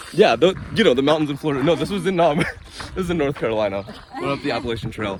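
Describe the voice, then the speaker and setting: Against noticeable background noise, a man speaks at a very fast pace with lively intonation. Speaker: travel vlogger. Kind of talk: casual chat. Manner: loud.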